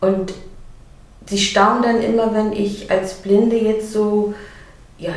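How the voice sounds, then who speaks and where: Over noticeable background noise and audible room echo, a woman with a fairly high pitch talks at a fairly slow pace in a flat monotone. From East Germany. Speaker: blind children's author. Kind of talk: casual interview.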